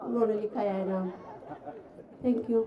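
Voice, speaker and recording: This is a woman's voice. Crowd noise can be heard in the background. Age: 60s. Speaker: workshop participant. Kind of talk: self-introduction. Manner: halting.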